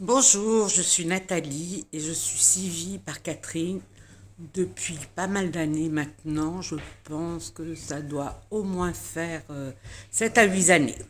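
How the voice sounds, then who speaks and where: A woman with a fairly low pitch and lively intonation at a very slow pace. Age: 60s. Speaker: client giving a testimonial. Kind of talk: testimony. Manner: halting, many filler sounds.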